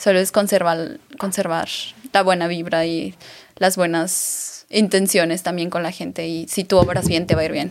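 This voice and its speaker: In a normal speaking voice, a woman talks at a moderate pace with fairly low pitch and fairly even intonation. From Mexico, Aguascalientes. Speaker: beauty pageant winner and influencer. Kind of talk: interview.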